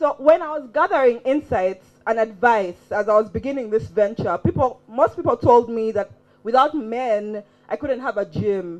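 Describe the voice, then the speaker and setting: Music plays in the background as a woman speaks. Her tone is animated and her intonation lively. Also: fairly high pitch for a woman, moderate pace. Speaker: gym owner and activist. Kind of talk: prepared talk.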